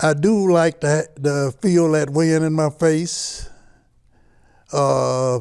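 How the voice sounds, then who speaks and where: With long, frequent pauses, a man speaks at a very slow pace and fairly high pitch, his loudness very even and his intonation fairly even. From Chicago, US Midwest (born in Mississippi). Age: 80s+. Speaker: ski club co-founder. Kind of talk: oral history interview. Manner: halting.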